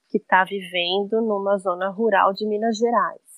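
At a moderate pace, a woman talks in a normal speaking voice at medium pitch. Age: 40s. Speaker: cook and agroecology advocate. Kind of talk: interview conversation.

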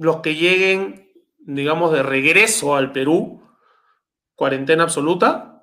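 Very slowly and with long, frequent pauses, a man speaks at fairly high pitch in a bright, sharp tone with ordinary pitch variation. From Peru. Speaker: youtuber. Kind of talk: casual chat.

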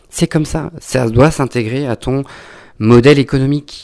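A man talks at a very slow pace. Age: 30s. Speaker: wine educator and podcaster. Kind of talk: casual monologue. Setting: at home. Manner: halting, many fillers.

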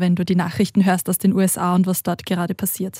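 A woman speaks at a moderate pace and medium pitch in a dark, mellow, somewhat breathy tone with flat, monotone intonation, recorded very cleanly and close-up with no echo against a silent background. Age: young. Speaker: podcast co-host, religious educator. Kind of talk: interview.

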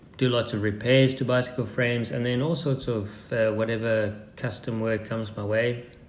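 A man with a medium-pitched voice talks at a moderate pace with hardly any pauses and fairly even intonation, amid audible room echo and noticeable background noise. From Zimbabwe and South Africa. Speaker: custom composites builder and adventure racer. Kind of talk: interview. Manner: halting, many fillers.

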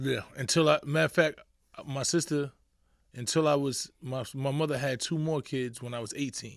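In a New York accent, a man with a fairly high pitch speaks at a moderate pace and with fairly even intonation, on a very clean recording with a silent background. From New York, the Bronx. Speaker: rapper and activist. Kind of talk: casual interview.

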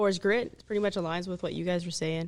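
A woman speaks with an American accent. Vocal fry runs through her voice. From Oklahoma. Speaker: staff sergeant. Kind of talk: casual chat.

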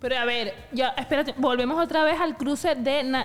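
A high-pitched woman at a moderate pace amid noticeable background noise. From Venezuela. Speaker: podcast co-host. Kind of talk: casual chat.

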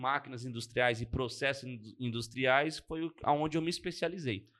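This man has a normal speaking voice with ordinary pitch variation. He talks at a moderate pace. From Brazil, Arujá, São Paulo state. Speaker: automation company owner. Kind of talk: casual chat.

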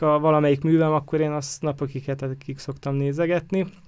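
A man with a fairly high pitch, talking at a very fast pace. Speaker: photographer. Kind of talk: casual chat. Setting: studio.

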